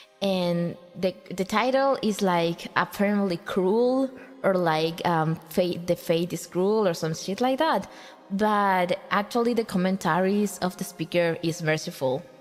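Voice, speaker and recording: A woman with a non-native accent talks at a fairly slow pace and medium pitch. Her pitch variation is ordinary and her loudness very even. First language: Spanish. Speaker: vtuber streamer. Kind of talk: casual livestream chat. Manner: halting.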